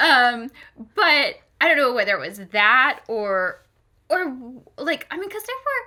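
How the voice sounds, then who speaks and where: Speaking in a raised, projected voice with an American accent, a woman uses a high pitch with very wide pitch swings, a bright, sharp, animated tone, big swings in loudness, a fairly slow pace and long, frequent pauses. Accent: loud American. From Florida, US South. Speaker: podcast co-host. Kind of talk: casual chat. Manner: animated, many fillers.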